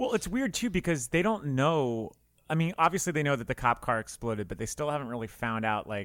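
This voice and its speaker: A man with an American accent and an ordinary speaking voice talks at a fairly quick pace with lively intonation, on a very clean recording with a silent background. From US South, South Florida. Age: 30s. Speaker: film podcaster. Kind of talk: casual chat.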